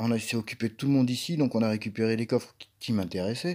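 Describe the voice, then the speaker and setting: The recording is very clean, its background silent. A man talks at a moderate pace in a dark, mellow tone. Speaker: gaming YouTuber. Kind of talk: gameplay commentary. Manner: casual, hesitant with fillers.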